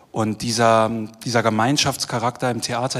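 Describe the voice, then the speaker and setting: The man's voice holds a medium pitch and a moderate pace, its intonation monotone and flat. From Germany, Düsseldorf. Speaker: theatre director. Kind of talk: panel discussion. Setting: stage with live audience.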